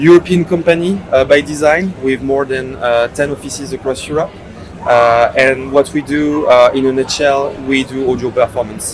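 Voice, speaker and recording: With a French accent, a man talks at a fairly high pitch over noticeable background noise. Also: ordinary pitch variation, moderate pace. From France. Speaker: startup CEO. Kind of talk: podcast interview. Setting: at a conference in Miami. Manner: hesitant, many fillers.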